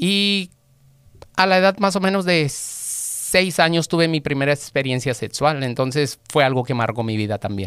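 A man's voice with lively intonation, dry and echo-free, over a quiet background. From Mexico, Guadalajara; Jalisco, Mexico. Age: 40s. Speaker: auto mechanic; podcast guest. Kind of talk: interview, personal testimony. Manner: halting, repeats words. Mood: reflective, personal. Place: studio. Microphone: studio mic.

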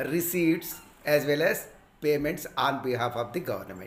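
Talking at a fairly slow pace, a man is heard over light background noise. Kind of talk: lecture. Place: home room. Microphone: phone near.

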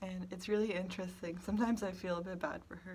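Over light background noise, a woman talks at a moderate pace in a somewhat breathy voice with monotone, flat intonation. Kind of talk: casual vlog chat. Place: office. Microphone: phone near.

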